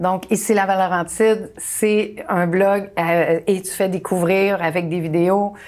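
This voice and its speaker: In a Quebec accent, a woman speaks at a very slow pace with hardly any pauses. Her pitch is medium and her intonation fairly even. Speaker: talk show host. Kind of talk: casual interview chat. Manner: hesitant, many fillers.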